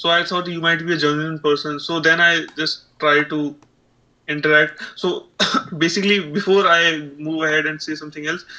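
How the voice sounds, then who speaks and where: A man speaks with a strong Indian accent in a fairly high, bright, sharp voice. His intonation is flat and monotone, and his pace is moderate. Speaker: aspiring streamer. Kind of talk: casual chat. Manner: halting.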